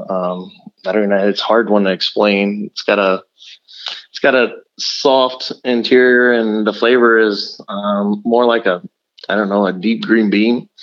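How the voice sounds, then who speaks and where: This is an unremarkable speaking voice with an American accent. The pace is fairly slow and the intonation fairly even. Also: man, fairly low pitch for a man. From South Texas. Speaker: competition pitmaster and restaurant owner. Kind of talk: interview.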